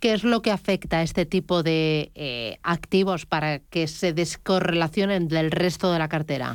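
A woman's fairly low-pitched voice at a fairly slow pace, with ordinary pitch variation, hardly any pauses and an unremarkable speaking voice. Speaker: radio host. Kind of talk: interview. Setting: studio.

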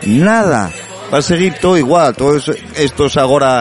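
A man talks with lively intonation. Noticeable background noise can be heard. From Asturias, Avilés. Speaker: language activist. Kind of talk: interview. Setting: bar.

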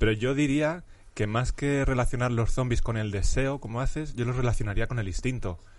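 A man's medium-pitched voice shows ordinary pitch variation, with audible room echo around it. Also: fairly quick pace. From Spain, Madrid (Vallecas). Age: 30s. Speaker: philosophy professor. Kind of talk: casual interview chat.

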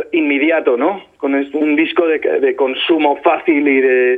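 A man talks at a very slow pace with a fairly high pitch. His pitch variation is ordinary. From Spain, Albacete. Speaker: singer-songwriter. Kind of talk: interview. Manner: halting, many repetitions.

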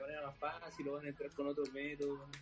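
A man's voice over noticeable background noise. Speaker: podcast co-host. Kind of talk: casual chat.

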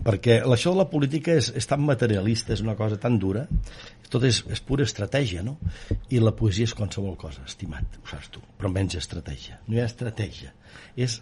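With vocal fry and a dark, mellow tone, a man talks at a fairly quick pace at a medium pitch, his voice swinging very widely in pitch and with big swings in loudness. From Catalonia, Osona countryside. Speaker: politician and baker-businessman. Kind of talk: interview.

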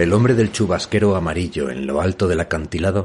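Vocal fry creaks through this male speaker's voice. He talks at a middling speed. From northern Spain. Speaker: novelist and podcast host. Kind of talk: reading aloud from own novel.

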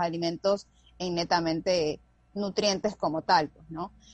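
Fairly slow and with fairly even intonation, a woman talks. She has an ordinary speaking voice. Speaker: nutritionist. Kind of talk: casual chat. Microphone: unstable internet connection.

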